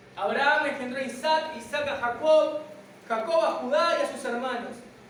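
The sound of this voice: A woman speaks at a high pitch with ordinary pitch variation. Audible room echo surrounds her voice. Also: moderate pace.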